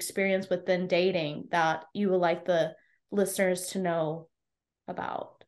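With an American accent and a normal speaking voice, a woman talks at a fairly slow pace and medium pitch in a fairly even intonation. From US. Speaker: podcast host and life coach. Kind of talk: interview, casual chat.

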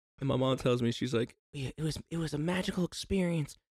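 A normal speaking voice from a man at a fairly quick pace, ordinary pitch variation, and a dry, close sound with no echo. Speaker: podcast co-host. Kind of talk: casual chat. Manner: casual, joking.

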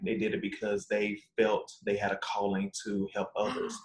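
A man with an unremarkable speaking voice, medium in pitch, with fairly even intonation. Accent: American. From US South, Arkansas (Magnolia). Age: 20s. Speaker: lawyer. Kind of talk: interview.

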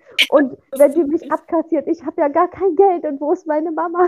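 A woman speaks at a moderate pace. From Saxony-Anhalt, near Magdeburg. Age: 20s. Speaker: podcast co-host, mother. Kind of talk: casual chat.

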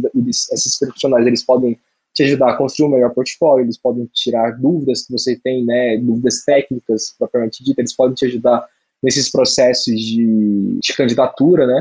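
A man speaks at medium pitch in a monotone, flat intonation. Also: moderate pace. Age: 20s. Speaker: UX designer. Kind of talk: casual chat.

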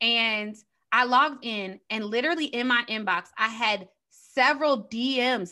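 A woman talks in a high pitch with a bright, sharp tone. Her pitch variation is ordinary, and the recording is very clean with a silent background. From Chicago. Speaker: digital marketing strategist and entrepreneur. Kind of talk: interview.

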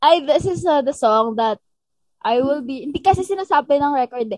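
A woman talks at a moderate pace with a high pitch and very wide pitch swings. The sound is dry and close, with no echo. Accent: Visayan. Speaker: singer. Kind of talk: casual chat. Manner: animated.

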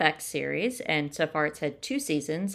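The pace here is moderate, delivered in an unremarkable speaking voice. It's a very clean recording against a silent background. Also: woman. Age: 50s. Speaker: podcast co-host. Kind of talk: casual chat.

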